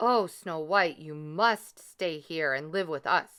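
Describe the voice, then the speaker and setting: Using a put-on character voice, a woman speaks at a fairly low pitch and fairly slow pace on a very clean recording with a silent background. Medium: read story.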